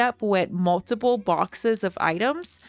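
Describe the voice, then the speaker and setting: With lively intonation and a medium pitch, a woman speaks at a fairly slow pace in a dry, close sound with no echo. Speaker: gaming youtuber. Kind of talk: gameplay commentary. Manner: mumbling.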